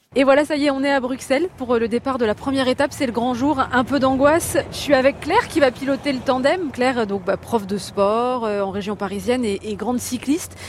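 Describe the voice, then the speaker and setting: A high-pitched woman's voice at a fairly quick pace, hardly any pauses, ordinary pitch variation, and noticeable background noise. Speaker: radio reporter. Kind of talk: on-location reportage. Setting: outdoors. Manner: animated.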